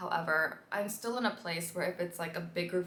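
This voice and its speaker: There is noticeable background noise behind this recording. A woman with an American accent speaks at medium pitch. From US, Washington DC. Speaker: vlogger. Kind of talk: casual vlog talk. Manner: fast; animated.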